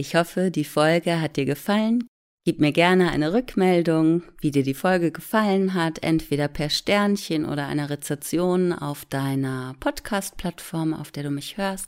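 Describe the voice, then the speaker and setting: In a plain, everyday voice, a woman speaks at a fairly slow pace with a fairly low pitch and ordinary pitch variation. The recording is very clean, with a silent background. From Hamburg, northern Germany. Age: 40s. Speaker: relaxation therapist and meditation podcast host. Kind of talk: casual chat to listeners.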